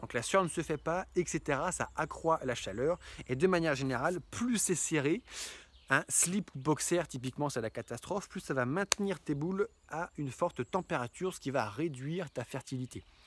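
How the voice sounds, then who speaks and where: With an animated tone and lively intonation, a man speaks at a moderate pace in a fairly high voice, the sound dry with no echo but carrying noticeable background noise. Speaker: YouTuber, hiking guide; health vlogger. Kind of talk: humorous vlog monologue. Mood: humorous, playful advice. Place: garden. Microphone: phone near.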